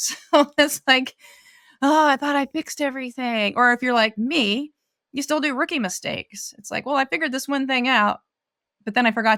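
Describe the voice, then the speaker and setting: On a very clean recording with a silent background, a woman with a high pitch and a bright, sharp tone speaks at a fairly quick pace. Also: dry, close sound with no echo. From US West Coast, rural Oregon. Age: 60s. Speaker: ultra-runner. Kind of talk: interview conversation.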